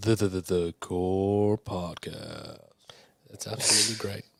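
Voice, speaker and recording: Putting on a character voice, a man speaks raspy and fairly low-pitched, at a fairly slow pace, in a monotone, flat delivery. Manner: broadcast announcer delivery.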